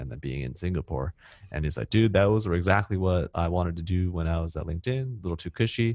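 Against a quiet background with a dry, close sound and no echo, a man with an American accent talks at a very fast pace, his very deep, low pitch moving in lively intonation. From US West Coast, Cupertino, California. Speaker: startup co-founder and marketing executive. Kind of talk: casual interview.

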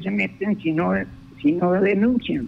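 This is a man talking. His pace is very slow. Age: 80s+. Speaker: cattle rancher. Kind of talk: phone interview. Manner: halting.

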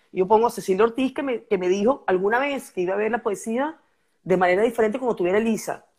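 A woman's fairly high voice at a very fast pace, on a very clean recording with a silent background. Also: ordinary pitch variation. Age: 50s. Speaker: poet. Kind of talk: casual chat.

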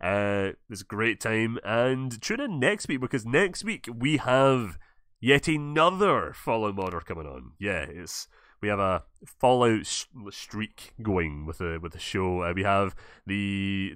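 In a Scottish accent, a man speaks at a fairly slow pace with very wide pitch swings and big swings in loudness against a quiet background. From Scotland. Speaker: podcast host and gaming YouTuber. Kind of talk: casual interview chat. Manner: animated.

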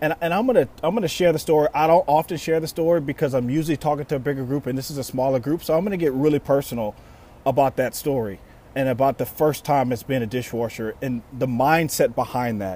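In an American accent, a man talks at a very fast pace with a fairly high pitch, ordinary pitch variation and a dark, mellow tone. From Louisiana, US South. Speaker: podcast host, motivational speaker. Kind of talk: motivational talk.

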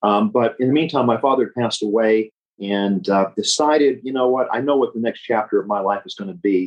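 Speaking very fast with an American accent, a man uses a medium pitch with ordinary pitch variation. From Memphis, Tennessee (US South). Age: 60s. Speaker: estate planning attorney, Navy veteran. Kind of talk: interview.

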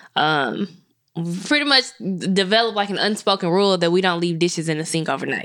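Ordinary pitch variation in a fairly low female voice. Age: 20s. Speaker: podcast co-host. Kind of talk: casual chat. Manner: halting.

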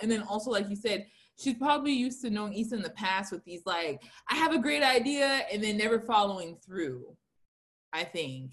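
Somewhat breathy and fairly high-pitched, a woman speaks at a fairly quick pace with very wide pitch swings. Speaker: podcast host. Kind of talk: casual chat.

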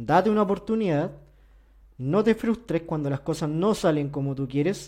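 A man's high-pitched voice, dark and mellow in tone, with lively intonation. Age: 30s. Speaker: finance and investment youtuber. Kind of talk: solo podcast monologue. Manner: hesitant, with fillers and repetitions.

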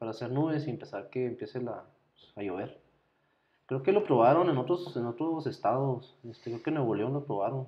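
Fairly quick and medium in pitch, a man talks in a normal speaking voice. His loudness swings a lot while his pitch varies in an ordinary way. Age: 30s. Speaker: podcast co-host, nurse or doctor. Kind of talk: casual chat.

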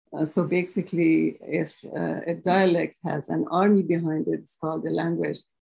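This woman speaks with a Persian accent. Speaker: linguistics professor. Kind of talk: lecture. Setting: lecture hall with audience. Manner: halting, with fillers.

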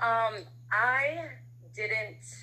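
A woman with an American accent has a bright, sharp tone and vocal fry. Her pitch swings very widely. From Harlem and the Bronx, New York. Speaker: guest and prospective co-host. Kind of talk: casual conversation.

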